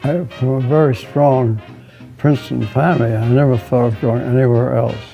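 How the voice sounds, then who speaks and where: Against music in the background, a man keeps a moderate pace and fairly even intonation. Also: medium pitch for a man. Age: 80s+. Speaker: Princeton alumnus, class of 1938. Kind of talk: interview answer.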